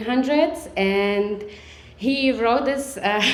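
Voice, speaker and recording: A woman with a Slovak accent, fairly high pitch, ordinary pitch variation and a very slow pace, amid noticeable background noise and audible room echo. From Serbia, Slovak-speaking minority. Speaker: storyteller. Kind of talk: storytelling. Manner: halting, many fillers.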